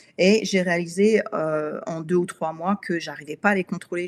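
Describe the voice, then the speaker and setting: Fairly even intonation at a moderate pace. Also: woman. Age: 50s. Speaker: wellness coach. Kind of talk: live webinar talk. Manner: halting, many hesitations.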